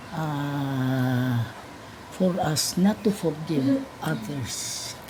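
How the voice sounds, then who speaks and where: Speaking at a very slow pace, a woman with a very deep, low pitch uses ordinary pitch variation over noticeable background noise. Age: 80s+. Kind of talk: interview answer.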